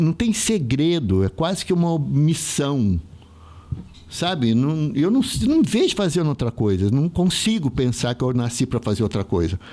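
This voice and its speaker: The man's pitch sits fairly high and swings very widely. His loudness stays very even. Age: 60s. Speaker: theatre artist. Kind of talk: casual chat.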